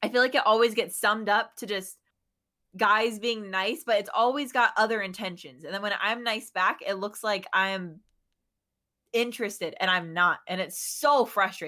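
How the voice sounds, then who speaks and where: A woman with a fairly high, bright, sharp voice speaks at a moderate pace with ordinary pitch variation on a very clean recording with a silent background. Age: 20s. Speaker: streamer. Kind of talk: casual chat.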